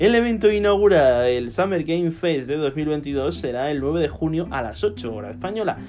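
A man speaks in an animated tone with very wide pitch swings and hardly any pauses. Music plays in the background. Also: fairly high pitch for a man, moderate pace. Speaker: gaming news podcast host. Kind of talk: casual news roundup monologue. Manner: animated, with frequent repetitions.

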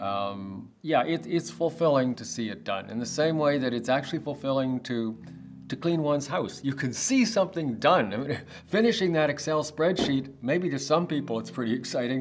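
With music in the background, a man with a Canadian accent speaks at a moderate pace, his fairly high pitch moving in lively intonation. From Canada, Toronto. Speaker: real estate developer. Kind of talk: podcast interview. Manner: halting, many fillers.

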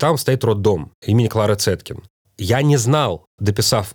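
With ordinary pitch variation, the man talks in a somewhat breathy voice. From Moscow, Russia. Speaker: writer and actor. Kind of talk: interview.

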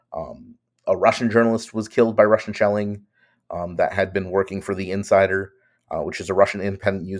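A man with an American accent speaks at a fairly quick pace. His pitch is fairly low. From New York. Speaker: journalist. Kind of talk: interview. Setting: video call.

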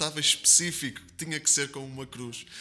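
A man in a Porto accent at a very fast pace, fairly high in pitch, in monotone, flat intonation. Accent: northern European Portuguese (Porto). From Porto, northern Portugal. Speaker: evangelical pastor. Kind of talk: interview testimony. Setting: studio, seated beside host.

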